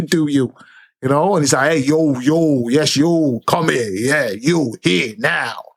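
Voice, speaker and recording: A man with an unremarkable speaking voice and ordinary pitch variation. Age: 30s. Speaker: commentary streamer. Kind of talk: casual commentary monologue. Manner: conversational.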